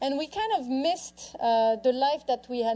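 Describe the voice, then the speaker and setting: With a French accent, a woman speaks at a high pitch and moderate pace, her tone dark and mellow and her intonation lively. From France. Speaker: author and lifestyle speaker. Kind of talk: public talk. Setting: stage with audience.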